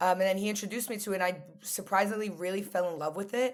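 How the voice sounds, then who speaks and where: In an American accent, a woman of medium pitch talks at a very fast pace on a very clean recording with a silent background. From New York, US. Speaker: podcast guest. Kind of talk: casual chat. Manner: talkative.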